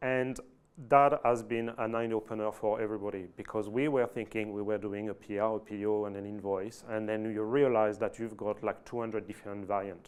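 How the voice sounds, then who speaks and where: Fairly quick and monotone, a man with a French accent talks at a fairly low pitch with flat intonation. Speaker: IT manager at an oil and gas company. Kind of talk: fireside chat presentation. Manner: halting, many fillers and restarts.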